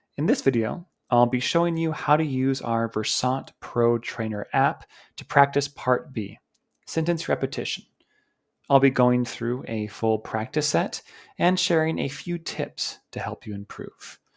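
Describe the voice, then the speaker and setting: An unremarkable speaking voice, with lively intonation and a fairly slow pace, comes through on a very clean recording with a silent background. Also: man, medium pitch for a man. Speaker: English coach. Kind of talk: tutorial talk to camera.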